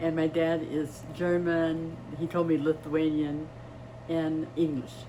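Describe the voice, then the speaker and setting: In a Midwestern American accent, a woman with a very deep, low pitch speaks very slowly in a monotone, flat intonation at very even loudness, with audible room echo. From US Midwest, East Chicago, Indiana. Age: 80s+. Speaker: retired nurse. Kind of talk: interview.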